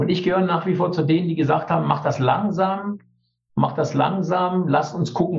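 At a moderate pace, a man speaks with a high pitch amid audible room echo. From East Germany. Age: 60s. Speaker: teacher and trade unionist. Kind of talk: interview.

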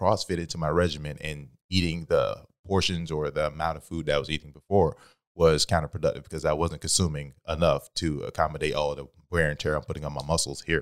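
A man speaks with a very deep, low pitch at a fairly quick pace. His intonation is fairly even. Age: 30s. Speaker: gym member. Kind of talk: casual chat. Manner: loud.

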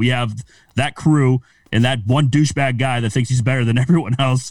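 Somewhat breathy, a man speaks at a medium pitch. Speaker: sports podcast host. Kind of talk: casual banter.

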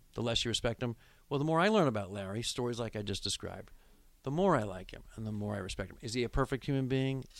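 A man's medium-pitched voice with an American accent, very fast and lively in intonation, on a very clean recording with a silent background. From Nebraska, Lincoln. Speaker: radio play-by-play announcer. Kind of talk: casual interview chat, storytelling. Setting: studio.

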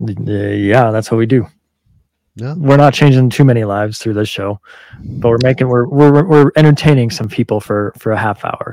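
A man with a dark, mellow tone talks at medium pitch and a moderate pace, using ordinary pitch variation. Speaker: firefighter podcast host. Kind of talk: casual chat with swearing.

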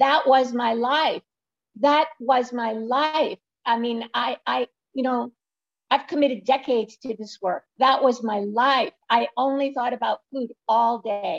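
Speaking with an American accent, a woman uses a high voice and fairly even intonation at a fairly slow pace. The sound is dry and close, with no echo. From Brooklyn, New York. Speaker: weight-loss coach and author. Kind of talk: interview.

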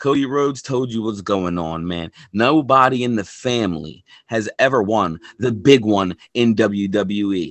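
A man with a plain, everyday voice speaks at a fairly slow pace, fairly low in pitch with ordinary pitch variation. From Philadelphia, US. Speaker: podcast co-host, wrestling fan. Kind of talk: casual chat.

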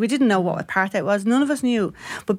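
A woman talks at a fairly quick pace, the sound dry and close without echo. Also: very clean recording, silent background. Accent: Dublin. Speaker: former striking shop worker. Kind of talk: interview, personal testimony.

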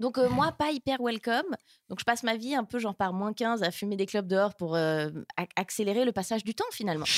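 An unremarkable speaking voice from a woman, fairly high in pitch and fairly quick, with lively intonation and a dry, close sound with no echo. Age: 20s. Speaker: stand-up comedian. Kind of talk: casual chat.

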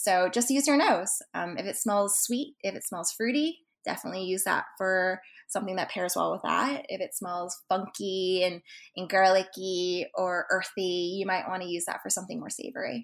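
With a plain, everyday voice, a woman with an American accent speaks at medium pitch and a moderate pace with ordinary pitch variation, in a very clean recording with a silent background. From Texas (Dallas), US. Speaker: food photographer and cannabis chef. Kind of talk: interview. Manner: frequent fillers (um, uh).

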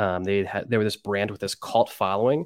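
A man with an American accent speaks at a very fast pace in a fairly low pitch. The sound is dry and close with no echo, and the recording is very clean with a silent background. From central Pennsylvania. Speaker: sports card collector and social media personality. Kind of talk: casual chat.

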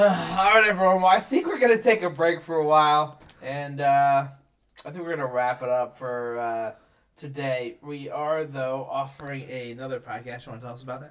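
An unremarkable speaking voice belongs to a man talking at a moderate pace. His intonation is lively, with big swings in loudness. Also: fairly high pitch for a man. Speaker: podcast host. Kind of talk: casual chat. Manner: joking, playful.

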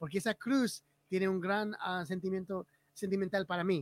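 In an English accent, a man with a high voice speaks at a moderate pace with ordinary pitch variation, the sound dry and close with no echo. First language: English (speaking Spanish). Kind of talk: casual livestream conversation. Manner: halting, repeats words.

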